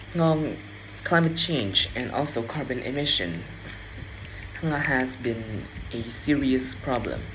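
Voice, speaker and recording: A Vietnamese accent over noticeable background noise. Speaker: English learner practicing speaking. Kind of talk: speaking test practice. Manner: halting, with self-corrections.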